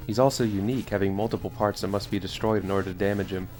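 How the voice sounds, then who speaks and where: Over music in the background, a man with a fairly low voice talks at a fairly quick pace with ordinary pitch variation. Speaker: video game reviewer. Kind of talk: scripted narration.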